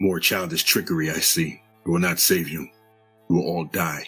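A man's booming, raspy put-on character voice, very deep and low in pitch, at a moderate pace with faint music in the background. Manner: menacing, contemptuous.

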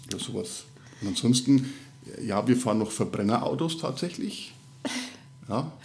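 In a Franconian accent, a man with a medium pitch and ordinary pitch variation speaks at a moderate pace with long, frequent pauses and audible room echo. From Middle Franconia, Bavaria. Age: 30s. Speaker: podcast co-host, father. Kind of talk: casual chat.

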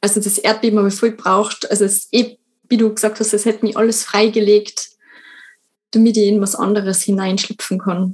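With a monotone, flat intonation, a woman speaks at a fairly high pitch and a moderate pace. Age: 20s. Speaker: writer. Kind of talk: casual chat.

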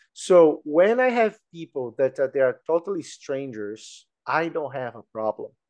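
A Brazilian-accented man at a fairly slow pace and fairly high pitch, with very wide pitch swings and a dry, close sound with no echo. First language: Portuguese. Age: 40s. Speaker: employment specialist. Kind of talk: casual interview. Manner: halting, many fillers and repeated words.

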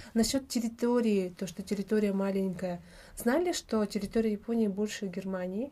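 Somewhat breathy with a dark, mellow tone, the voice moves at a moderate pace with ordinary pitch variation. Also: woman, medium pitch for a woman. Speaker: mother and vitamin business owner living abroad. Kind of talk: casual interview chat.

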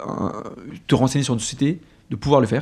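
The voice belongs to a man with a medium pitch. It has a dark, mellow tone. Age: 30s. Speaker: business development lead at a food delivery company. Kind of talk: interview.

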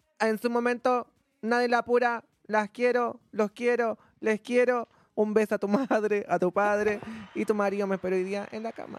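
A woman with a Chilean accent speaks at a moderate pace in an animated tone. The sound is dry and close, with no echo. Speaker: content creator. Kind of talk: casual chat.

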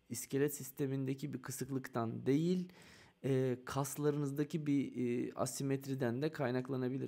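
At a moderate pace, the voice comes through in a dark, mellow tone. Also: man. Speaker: podcast host and bike fitter. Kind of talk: live-stream interview. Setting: online live broadcast.

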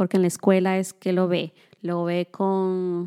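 The voice has a dark, mellow tone at a fairly slow pace, with a dry, close sound and no echo. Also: woman. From Dominican Republic. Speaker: podcast co-host. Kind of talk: casual chat.

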